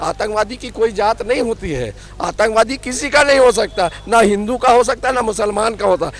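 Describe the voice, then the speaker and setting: High-pitched male voice over noticeable background noise. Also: ordinary pitch variation, moderate pace, hardly any pauses. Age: 50s. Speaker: political commentator. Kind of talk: heated debate. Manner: insistent.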